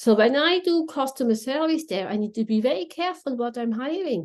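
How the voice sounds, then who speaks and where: Speaking with a Swiss German accent at a moderate pace, a woman swings very widely in pitch. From Switzerland (Swiss German speaker). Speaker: contact centre consultant. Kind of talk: podcast interview. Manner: animated.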